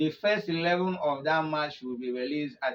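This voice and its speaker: At a moderate pace, a man speaks in a normal speaking voice with a fairly high pitch and ordinary pitch variation. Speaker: football news presenter. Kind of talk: football news commentary in Nigerian Pidgin.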